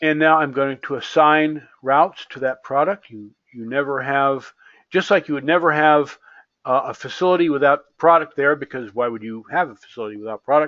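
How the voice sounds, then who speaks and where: A man talks at a fairly quick pace with big swings in loudness. His pitch is fairly high, with ordinary variation. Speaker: software developer demonstrating supply chain simulation. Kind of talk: software tutorial demo. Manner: fast; casual, hesitant with repetitions.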